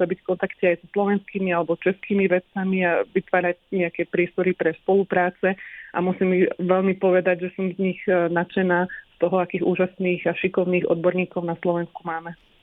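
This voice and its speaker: A woman with a medium pitch talks at a fairly quick pace with hardly any pauses and a monotone, flat intonation. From Slovakia, Sereď. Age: 30s. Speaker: molecular biologist. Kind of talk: radio interview.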